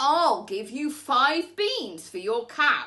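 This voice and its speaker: Putting on a character voice, a woman projects a raised voice at a high pitch with very wide pitch swings. Her pace is very slow. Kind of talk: bedtime story. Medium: read story.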